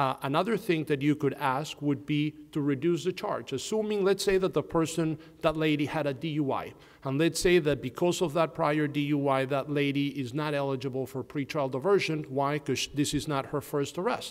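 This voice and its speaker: At a moderate pace, a man with a non-native accent speaks at a fairly high pitch with ordinary pitch variation. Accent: noticeable foreign. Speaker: criminal defense lawyer. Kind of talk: panel discussion.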